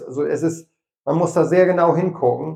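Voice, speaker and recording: This man talks at a moderate pace in a dark, mellow tone, his intonation monotone and flat. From East Frisia, Rheiderland. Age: 50s. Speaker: dairy farmer and YouTuber. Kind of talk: interview.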